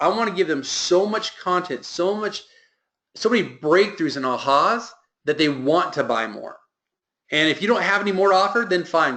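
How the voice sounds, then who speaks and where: A man talks at a fairly quick pace with lively intonation and a bright, sharp tone. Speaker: business coach. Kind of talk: mastermind group call. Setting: conference call. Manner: fast; animated.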